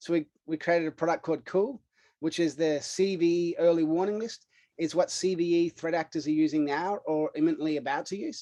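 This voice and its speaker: High male voice with a dark, mellow tone, fairly quick pace and ordinary pitch variation, dry and close with no echo. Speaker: cybersecurity startup CEO. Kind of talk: podcast interview. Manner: casual, filler-heavy.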